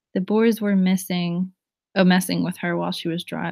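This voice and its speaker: The speaker has a New Jersey accent and ordinary pitch variation. The recording is very clean, with a silent background. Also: woman. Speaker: live streamer. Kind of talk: casual chat with live chat readers. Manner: loud.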